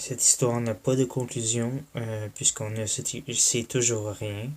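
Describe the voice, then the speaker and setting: A soft-spoken man talks in a Quebec accent at a medium pitch. His delivery is fairly slow and monotone, with flat intonation. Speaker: YouTuber. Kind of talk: vlog monologue. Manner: halting.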